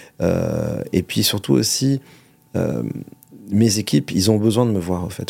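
A man's fairly low voice, dark and mellow in tone, with lively intonation, a fairly slow pace and long, frequent pauses. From Monaco. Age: 40s. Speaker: restaurateur and food entrepreneur. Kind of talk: interview. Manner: halting, many repetitions and hesitations.

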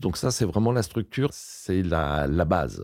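The speaker has a dark, mellow tone with vocal fry and lively intonation at a moderate pace. It is a very clean recording with a silent background. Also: man. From France, near Lyon. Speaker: landscape gardener. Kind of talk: interview. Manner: hesitant, many fillers.

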